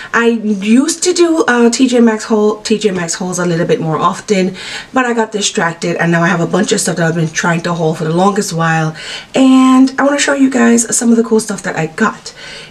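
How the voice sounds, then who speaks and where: Woman with lively intonation and a fairly high pitch, over noticeable background noise. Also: fairly quick pace. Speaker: beauty vlogger. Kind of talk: product haul video. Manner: fast, rushed; animated.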